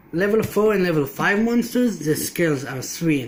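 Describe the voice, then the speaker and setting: A man with a non-native accent, high in pitch, with lively intonation at a fairly quick pace. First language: not English. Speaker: card game player. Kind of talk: deck profile explanation. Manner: halting.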